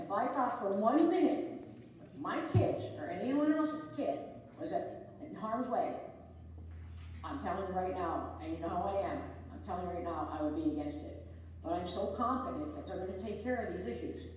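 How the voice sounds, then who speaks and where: A woman speaks at a moderate pace. Strong room echo surrounds her voice, with light background noise. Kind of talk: meeting remarks. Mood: emphatic, defensive. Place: meeting room. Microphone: camera far.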